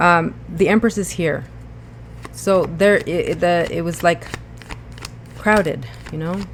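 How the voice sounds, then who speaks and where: The speech moves at a fairly slow pace, broken by long, frequent pauses. Noticeable background noise runs underneath. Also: woman. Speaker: tarot reader. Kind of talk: tarot reading monologue. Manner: hesitant, many fillers.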